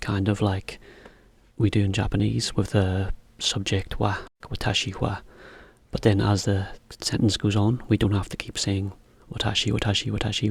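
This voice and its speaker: A man with a British accent, a fairly low pitch and vocal fry, at a moderate pace. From Britain. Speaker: English teacher for Japanese learners. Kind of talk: educational explainer, English lesson. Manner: clear, relaxed, friendly, conversational.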